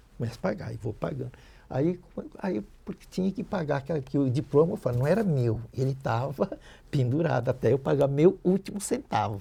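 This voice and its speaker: This man has a fairly high pitch with a dark, mellow tone and a somewhat breathy quality. His intonation is lively. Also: fairly quick pace. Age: 70s. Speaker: dental prosthetics educator. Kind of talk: podcast interview, life story.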